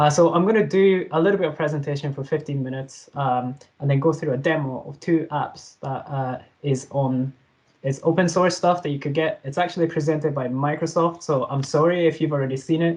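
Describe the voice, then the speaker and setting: Somewhat breathy and fairly high in pitch, a man talks at a fairly quick pace with fairly even intonation. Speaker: software developer presenter. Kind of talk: tech talk presentation. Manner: fast; hesitant with fillers.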